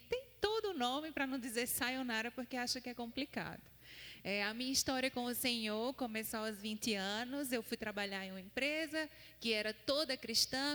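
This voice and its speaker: Bright and sharp in tone, this woman's voice sits high. She speaks with a northeastern Brazilian accent. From Paraíba, Brazil (Campina Grande). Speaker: seminary student and missionary preacher. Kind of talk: sermon. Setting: church.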